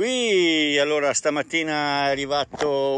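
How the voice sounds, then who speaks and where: Light background noise under a man's dry voice with no echo. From Italy. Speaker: travel vlogger. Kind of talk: vlog monologue. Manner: rambling, fast. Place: open country. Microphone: phone near.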